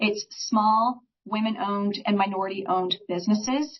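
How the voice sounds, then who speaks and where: With an ordinary speaking voice, the woman talks fairly high in pitch and uses ordinary pitch variation. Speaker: small business advisor. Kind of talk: presentation.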